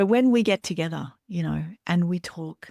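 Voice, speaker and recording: A woman speaks at a fairly slow pace and a fairly low pitch, with ordinary variation and a dark, mellow tone. The sound is dry and close with no echo, the recording very clean over a silent background. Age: 50s. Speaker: somatic therapist and podcast host. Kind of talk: casual interview chat.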